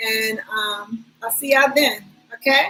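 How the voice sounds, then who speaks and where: A woman's raised, projected voice at a very slow pace, ordinary pitch variation, music in the background. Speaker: spiritual self-help vlogger. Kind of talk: casual vlog monologue.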